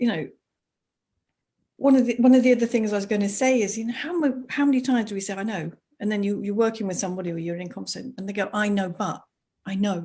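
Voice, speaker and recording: A woman speaks very fast yet with long, frequent pauses, her somewhat breathy, medium-pitched voice carrying a dark, mellow tone and ordinary pitch variation. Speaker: school teacher and coach. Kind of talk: live video interview.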